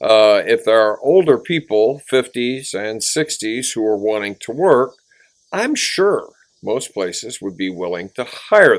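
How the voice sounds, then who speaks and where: A man with an American accent speaks at a fairly slow pace, using an ordinary speaking voice with lively intonation, in a very clean recording with a silent background. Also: medium pitch for a man. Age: 60s. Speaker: retail worker and vlogger. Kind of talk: casual monologue.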